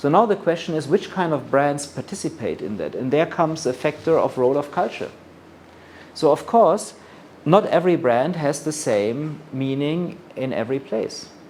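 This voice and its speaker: The speaker has a German accent, a moderate pace and ordinary pitch variation. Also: man, fairly high pitch for a man. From Germany. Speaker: luxury brand expert. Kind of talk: lecture.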